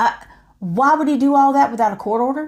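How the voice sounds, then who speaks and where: With an animated tone and very wide pitch swings, a woman speaks at a high pitch and a moderate pace on a very clean recording with a silent background. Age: 50s. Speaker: YouTuber. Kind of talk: monologue to camera.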